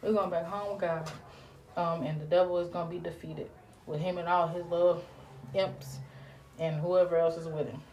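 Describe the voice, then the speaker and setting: Despite long, frequent pauses, a woman with a fairly low pitch talks at a fairly quick pace, with audible room echo and noticeable background noise. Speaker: podcast host. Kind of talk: religious encouragement talk. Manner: animated.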